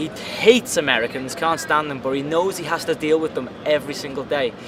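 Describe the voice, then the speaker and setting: Noticeable background noise sits behind the speaker. He is a man with a Liverpool accent and a fairly high voice. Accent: Liverpool (Scouse). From Liverpool, England. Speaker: free runner and actor. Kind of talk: interview.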